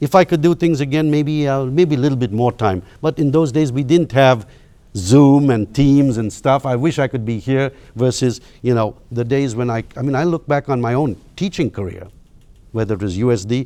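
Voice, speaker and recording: A man's dark, mellow voice at medium pitch, moderate pace and ordinary pitch variation. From India, Bangalore. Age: 60s. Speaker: business leader and professor. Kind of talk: interview. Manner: halting.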